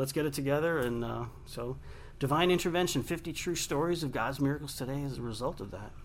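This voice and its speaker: A man with an American accent talks at a very fast pace, and the room echo is audible. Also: fairly high pitch for a man, ordinary pitch variation. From Long Island, New York. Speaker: radio host and author. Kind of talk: interview. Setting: studio.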